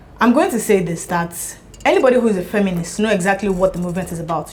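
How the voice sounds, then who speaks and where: Noticeable background noise surrounds a woman speaking at a medium pitch with ordinary pitch variation. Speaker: debater. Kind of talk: heated debate. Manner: fast.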